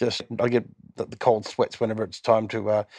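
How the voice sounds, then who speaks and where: In an Australian accent, a man speaks at a moderate pace with a fairly low pitch, a dark, mellow tone and monotone, flat intonation. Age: 60s. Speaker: musician in a cover band. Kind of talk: casual chat. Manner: halting.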